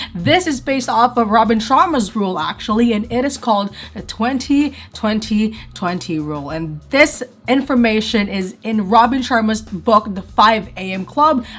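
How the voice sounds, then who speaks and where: A woman's fairly high voice with lively intonation at a moderate pace, against noticeable background noise. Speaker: lifestyle vlogger and student. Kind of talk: vlog narration. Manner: casual.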